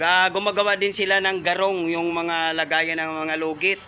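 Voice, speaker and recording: Fairly even intonation and a fairly slow pace mark this voice, heard over noticeable background noise. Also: man. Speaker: vlogger. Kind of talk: casual vlog narration. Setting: outdoors. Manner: halting, many fillers.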